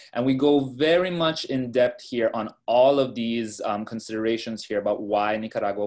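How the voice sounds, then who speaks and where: A man talks at a fairly quick pace in a normal speaking voice, medium in pitch, with ordinary pitch variation and hardly any pauses. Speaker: company staff on investment webinar. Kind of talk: webinar presentation. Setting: video call.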